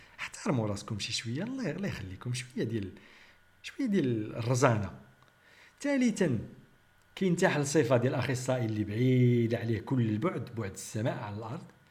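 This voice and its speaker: Over noticeable background noise and audible room echo, a man with a Moroccan accent speaks at a fairly quick pace and medium pitch with lively intonation. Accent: Moroccan Arabic (Darija). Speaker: biochemist and YouTube commentator. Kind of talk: critical commentary monologue.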